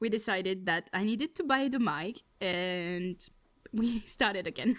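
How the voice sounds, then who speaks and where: On a very clean recording with a silent background, a woman with a French accent speaks at a fairly slow pace, at a medium pitch with ordinary pitch variation. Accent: French accent, self-described as bad. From France. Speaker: podcast co-host. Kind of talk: casual chat.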